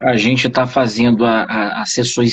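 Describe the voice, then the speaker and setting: A man speaking at a fairly slow pace. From Rio de Janeiro state, Brazil. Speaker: judicial council member. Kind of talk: live video interview. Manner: hesitant, many fillers.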